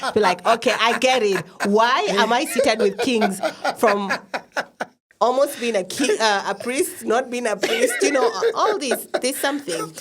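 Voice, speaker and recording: Over noticeable background noise, a woman with a Kenyan accent speaks at a fairly high pitch and a moderate pace with very even loudness. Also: lively intonation. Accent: noticeable non-American (Kenyan). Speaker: podcast host. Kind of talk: casual interview chat.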